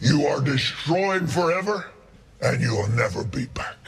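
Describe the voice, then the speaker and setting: A man puts on a character voice, fairly high in pitch, delivered at a moderate pace. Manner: scary, menacing.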